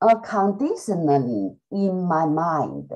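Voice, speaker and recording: Against a quiet background, a woman speaks with a dark, mellow tone. Her pace is very slow, and her pitch swings very widely. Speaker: student. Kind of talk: casual chat. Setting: video call. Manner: halting. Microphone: video call.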